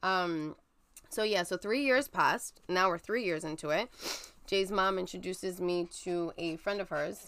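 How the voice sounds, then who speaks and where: A woman's fairly low voice with a New York accent, moderate pace and ordinary pitch variation, on a very clean recording with a silent background. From New York (Brooklyn). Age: 30s. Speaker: guest sharing infertility story. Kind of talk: casual interview, personal story.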